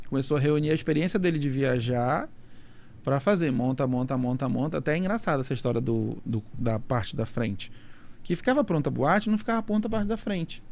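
Here a man speaks at a moderate pace in a fairly high voice. His pitch swings very widely. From Manaus, Amazonas, northern Brazil. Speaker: nightlife event producer. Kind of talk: casual interview chat.

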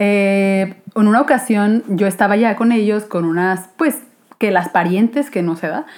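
A normal speaking voice from a woman, medium in pitch, at a fairly slow pace with ordinary pitch variation. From Guadalajara, Mexico. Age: 20s. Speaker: illustrator and podcaster. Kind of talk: casual chat.

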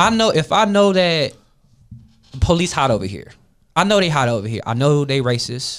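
Speaking with an American accent, a man sits fairly high in pitch and swings it very widely. His pace is moderate, broken by long, frequent pauses. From Florida. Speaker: podcast guest. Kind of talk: casual panel discussion.

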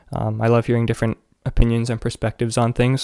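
Speaking at a fairly quick pace in a Canadian accent, a man has a medium pitch, a dark, mellow tone and monotone, flat intonation, recorded dry and close with no echo. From Canada. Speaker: podcast host, university student. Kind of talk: solo podcast monologue. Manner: casual with frequent fillers.

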